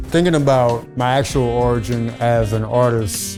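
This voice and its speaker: Very wide pitch swings in a Louisiana accent, with music in the background. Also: man. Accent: Louisiana Southern US. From Baton Rouge, Louisiana. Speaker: performance poet. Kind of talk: interview answer.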